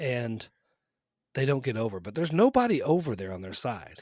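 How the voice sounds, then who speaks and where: Against a very clean recording with a silent background, a man speaks at a medium pitch. His tone is animated and his pace fairly quick. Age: 40s. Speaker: comedy podcast host. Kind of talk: casual chat.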